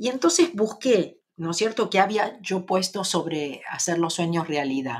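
This woman's medium-pitched voice moves through very wide pitch swings. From Argentina. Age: 60s. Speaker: spiritual teacher and live streamer. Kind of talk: casual live stream chat. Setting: home, live stream.

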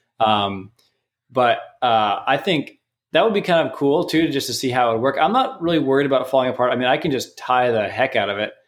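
This man has an ordinary speaking voice at a medium pitch, with lively intonation and a fairly quick pace. The recording is very clean, and the background is silent. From Canada. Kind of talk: casual chat.

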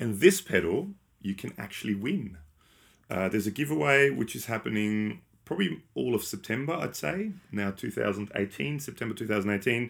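This man talks at a fairly quick pace with an Australian accent, his fairly low pitch sweeping through very wide swings. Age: 40s. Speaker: podcast host. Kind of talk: casual chat. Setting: live stream.

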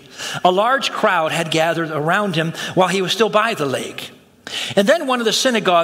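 Lively intonation marks this clip. The delivery is plain reading aloud.

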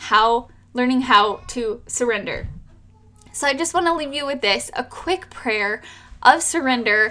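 A woman projects her voice, raised and high-pitched, with lively intonation. Music plays in the background. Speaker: home birth coach and nurse. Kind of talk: fervent prayer to God, spoken aloud to close the episode; podcast monologue, off-the-cuff message. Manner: earnest, heartfelt, fervent.

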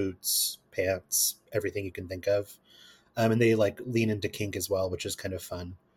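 In a very clean recording with a silent background, a man talks at a fairly quick pace. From Kentucky, US. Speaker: guest, astrology and queer topics. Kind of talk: casual interview chat.

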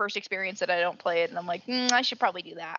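The speaker has an American accent and ordinary pitch variation. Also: woman. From US South. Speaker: podcast host. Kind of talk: casual chat. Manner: animated.

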